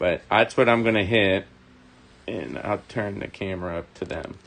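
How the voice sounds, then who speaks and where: This man speaks at a fairly slow pace in a very deep, low pitch, with ordinary pitch variation. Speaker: model railroad hobbyist host. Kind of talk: live stream tutorial. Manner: mumbling.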